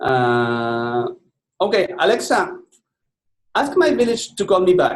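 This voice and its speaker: A man with a high voice and a Spanish accent speaks at a very slow pace, his pitch swinging very widely, with long pauses that come often. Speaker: software presenter. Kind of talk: product demo.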